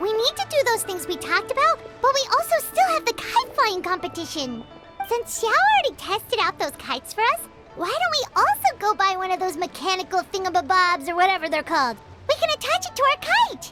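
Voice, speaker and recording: A cartoonish character voice at an extremely high pitch and a fairly quick pace, over loud music in the background. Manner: lively, casual.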